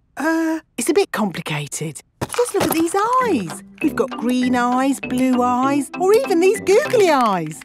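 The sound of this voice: A woman does a cartoonish character voice at a high pitch with a slightly husky edge and big pitch swings. She speaks at a fairly slow pace over faint music in the background.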